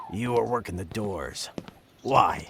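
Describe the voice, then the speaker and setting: In a cartoonish character voice, a man speaks fairly low and raspy with lively intonation. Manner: menacing.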